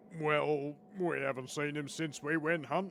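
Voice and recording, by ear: A man performs a cartoonish character voice at a fairly high pitch. He keeps a moderate pace over clear background noise.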